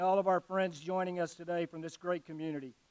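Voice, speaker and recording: The speaker has an Alabama accent. The sound is dry and close, with no echo. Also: man. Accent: US Southern (Alabama). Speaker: army general, guest speaker. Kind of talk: ceremonial speech. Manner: slow.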